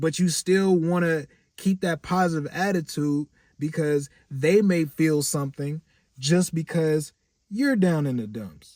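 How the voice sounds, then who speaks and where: At a fairly slow pace, a man with a fairly high pitch speaks in an animated tone with ordinary pitch variation, the sound dry and close with no echo on a very clean recording with a silent background. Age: 30s. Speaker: vlogger and clothing brand owner. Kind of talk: casual monologue vlog. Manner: animated, worked up.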